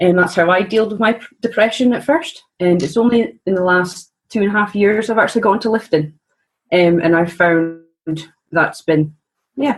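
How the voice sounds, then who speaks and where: Speaking at a moderate pace, a woman with a Scottish accent has a medium pitch and ordinary pitch variation. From Scotland, small town. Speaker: personal trainer in training, former fine artist. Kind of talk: casual chat.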